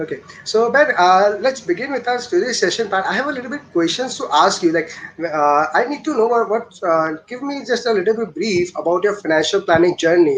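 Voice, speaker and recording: A man with an Indian accent, high-pitched for a man, with lively intonation, a fairly quick pace and noticeable background noise. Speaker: show host. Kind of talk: interview. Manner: fast.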